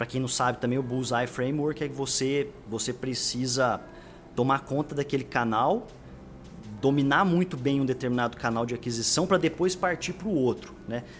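This is a man with a normal speaking voice. His pitch sits in the medium range. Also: ordinary pitch variation, moderate pace. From Brazil, Franca (São Paulo state interior). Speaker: growth marketing executive. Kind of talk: casual interview chat.

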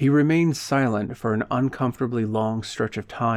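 The text is read aloud plainly. Its pitch shows ordinary variation.

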